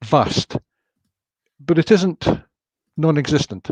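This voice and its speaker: The sound is dry and close, with no echo. The speaker has a Scottish accent. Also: man. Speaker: author. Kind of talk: interview answer.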